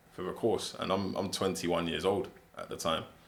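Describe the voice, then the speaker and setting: In a London accent, a man speaks with a very deep, low pitch. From England, South London. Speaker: barrister and football agent. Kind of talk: interview. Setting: in-person podcast sit-down.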